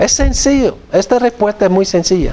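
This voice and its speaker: A man's voice sits high in pitch and carries a dark, mellow tone. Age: 60s. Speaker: theology professor. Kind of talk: lecture. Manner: halting.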